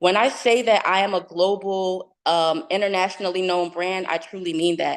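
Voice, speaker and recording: A woman's medium-pitched voice with a New Jersey accent and fairly even intonation, over a quiet background. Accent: New Jersey American. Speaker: fashion entrepreneur and tech speaker. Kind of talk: motivational talk.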